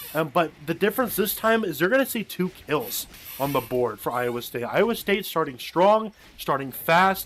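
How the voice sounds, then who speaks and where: Loud and animated, a man speaks at a high pitch with very wide pitch swings at a moderate pace amid noticeable background noise. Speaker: esports caster. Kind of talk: live commentary.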